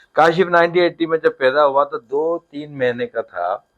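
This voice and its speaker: A man with a normal speaking voice and lively intonation. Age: 60s. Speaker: charity founder. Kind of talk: interview.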